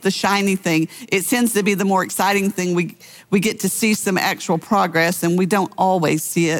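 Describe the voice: Fairly even intonation marks this plain reading aloud.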